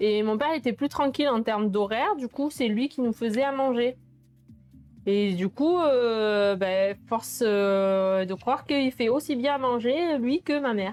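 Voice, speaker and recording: Music plays in the background as a woman talks at a fairly slow pace. Her pitch is fairly high, with ordinary pitch variation. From southern France, Sète. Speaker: cooking streamer. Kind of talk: casual live stream chat while cooking. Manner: hesitant, many fillers.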